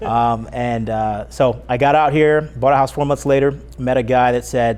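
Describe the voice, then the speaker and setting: In an ordinary speaking voice, a man with an American accent talks at medium pitch and a moderate pace, his intonation fairly even. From Northern California. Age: 40s. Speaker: mortgage broker. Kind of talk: interview.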